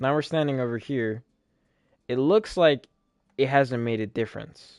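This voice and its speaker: With a plain, everyday voice, a man at medium pitch speaks at a moderate pace against a quiet background, his loudness swinging widely. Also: ordinary pitch variation. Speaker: gaming streamer. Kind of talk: live gameplay commentary. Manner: casual, thinking aloud.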